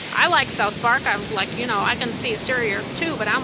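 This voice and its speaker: Very fast speech over noticeable background noise. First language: not English. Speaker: spiritual YouTuber. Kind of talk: casual vlog monologue. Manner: halting, many fillers.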